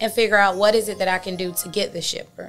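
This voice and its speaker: A woman speaks with an Atlanta accent. The recording is very clean, with a silent background. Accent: Southern US (Atlanta). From Atlanta, Georgia. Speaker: dispatch company owner, entrepreneur. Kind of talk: interview. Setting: studio.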